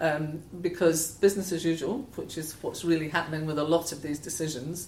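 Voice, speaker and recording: With a Scottish accent, a woman talks at a fairly quick pace in a fairly low pitch. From Scotland. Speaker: head of environmental charity. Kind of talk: interview conversation.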